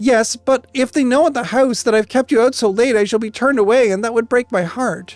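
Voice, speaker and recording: A put-on character voice, female-sounding and high-pitched, at a fairly quick pace over faint background music. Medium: read story.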